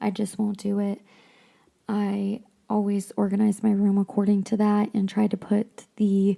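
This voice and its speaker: Fairly high in pitch, a woman talks at a fairly slow pace in a dark, mellow tone. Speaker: podcast host. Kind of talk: casual book discussion podcast. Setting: home craft room. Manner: quieter than usual, speaking softly; hesitant, many ums and restarts.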